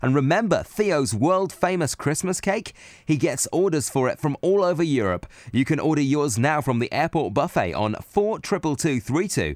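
Spoken at a moderate pace in an enthusiastic tone, the clip is a very clean recording with a silent background. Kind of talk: scripted radio ad voiceover, jingle-style. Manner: punchy, enthusiastic promotional read.

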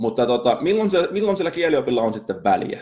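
Lively, varied intonation from a man talking fairly quickly. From Finland. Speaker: marketing podcaster and copywriter. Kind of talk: casual solo podcast monologue. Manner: halting, many fillers and repetitions.

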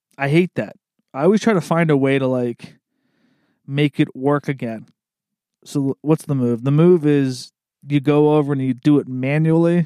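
A man with an East Coast US accent speaks at a fairly slow pace in a fairly high voice with a dark, mellow, relaxed tone and ordinary pitch variation, on a very clean recording with a silent background and a dry, close sound with no echo. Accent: American East Coast. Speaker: podcast host. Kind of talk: casual monologue. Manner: relaxed, rambling with fillers.

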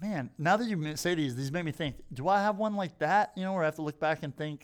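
A plain, everyday voice from a man, fairly high in pitch and fairly quick, with lively intonation on a very clean recording with a silent background. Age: middle-aged. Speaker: podcast host. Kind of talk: casual chat.

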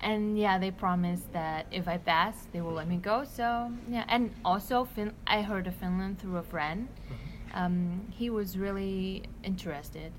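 In a Vietnamese accent, a woman speaks at a medium pitch. She talks fairly slowly with ordinary pitch variation. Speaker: exchange student. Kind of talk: casual chat. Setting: restaurant.

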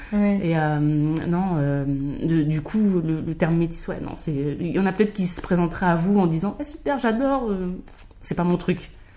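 A woman with a fairly low pitch speaks at a fairly slow pace with lively intonation, with audible room echo around her. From France, Paris region (Val-d'Oise). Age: 30s. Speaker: podcast guest sharing mixed-race experience. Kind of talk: casual chat.

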